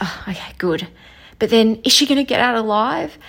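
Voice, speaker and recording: This woman's fairly high voice is somewhat breathy, moving with lively intonation at a moderate pace. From Melbourne, Australia. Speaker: listener caller. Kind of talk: voicemail feedback.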